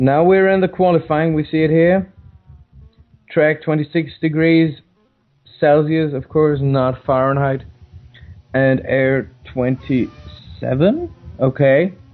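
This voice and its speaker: A man speaks with a non-native accent at a very slow pace, leaving long, frequent pauses. His pitch is fairly high and his intonation fairly even. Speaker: sim racing commentator. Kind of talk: live commentary. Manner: halting.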